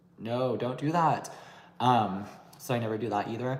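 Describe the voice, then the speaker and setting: With audible room echo and noticeable background noise, a man speaks at a moderate pace, his medium pitch showing ordinary variation. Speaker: beauty and anti-aging YouTuber. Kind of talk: livestream Q&A chat. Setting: livestream.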